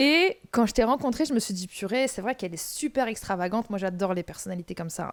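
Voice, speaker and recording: The tone a woman uses is animated, with ordinary pitch variation. Her recording is very clean, and the background is silent. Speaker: podcast host. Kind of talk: casual chat. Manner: loud.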